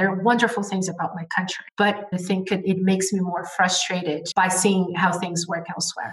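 A woman speaks at a moderate pace and medium pitch with hardly any pauses, her intonation monotone and flat. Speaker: trade expert. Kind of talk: interview.

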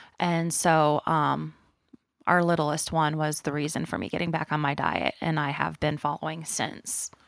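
A woman's very deep, low-pitched voice, monotone and flat in intonation, at a moderate pace. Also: very clean recording, silent background. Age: 30s. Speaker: person living with PKU, mother. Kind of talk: interview.

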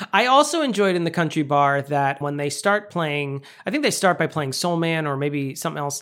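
Here is a man with an American accent and a fairly high pitch, using an ordinary speaking voice with ordinary pitch variation and hardly any pauses. The recording is very clean, with a silent background. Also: fairly quick pace. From New York. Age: 40s. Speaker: podcast co-host. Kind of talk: casual chat.

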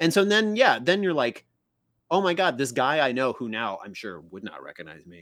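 In a very clean recording with a silent background, a fairly high-pitched man with a Midwestern American accent and vocal fry speaks at a moderate pace, with very wide pitch swings and big swings in loudness. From US Midwest, small-town Illinois. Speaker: author and improv comedian. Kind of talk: casual chat.

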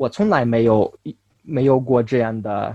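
The man talks at a fairly slow pace. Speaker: Chinese learner. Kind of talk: interview. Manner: halting.

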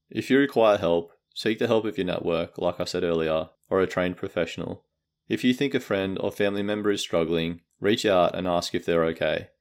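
A man with an Australian accent at a fairly quick pace, very deep and low in pitch with ordinary variation, on a very clean recording with a silent background. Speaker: podcast host, book summarizer. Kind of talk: book summary narration.

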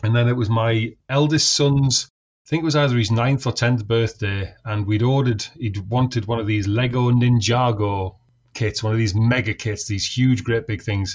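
Here a man talks at a fairly quick pace in a medium pitch. His voice is somewhat breathy, with ordinary pitch variation. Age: 40s. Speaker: scale modeler and train driver. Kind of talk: casual chat.

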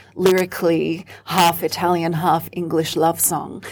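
On a very clean recording with a silent background, a woman with an Australian accent speaks at a fairly slow pace. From Australia (Sydney), childhood partly in Rome. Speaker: singer and performer. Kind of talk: interview.

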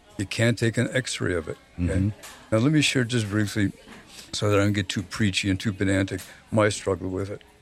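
Over background music, a man with a fairly low voice talks at a very fast pace with ordinary pitch variation. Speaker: recovering alcoholic and therapist. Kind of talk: casual chat.

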